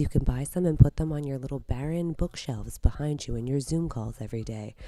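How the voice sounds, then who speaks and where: Her voice is very deep and low with a dark, mellow tone, and the woman speaks at a moderate pace with ordinary pitch variation in a very clean recording with a silent background. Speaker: online salon host. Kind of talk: live stream presenting.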